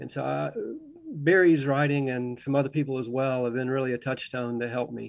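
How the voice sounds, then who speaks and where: A man's medium-pitched voice, fairly even in intonation, at a fairly quick pace. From US South, Augusta, Georgia. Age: 60s. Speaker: organic farmer and biology professor. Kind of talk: radio interview.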